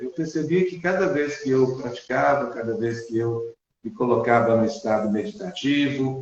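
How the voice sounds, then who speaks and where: With a normal speaking voice at medium pitch, a man speaks at a moderate pace with lively intonation. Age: 60s. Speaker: school principal and mindfulness instructor. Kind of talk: interview conversation.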